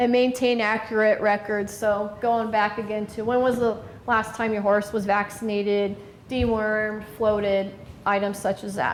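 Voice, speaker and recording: Noticeable background noise and audible room echo surround the recording. A woman speaks with a fairly high pitch and monotone, flat intonation. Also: moderate pace. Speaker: veterinarian. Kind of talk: lecture.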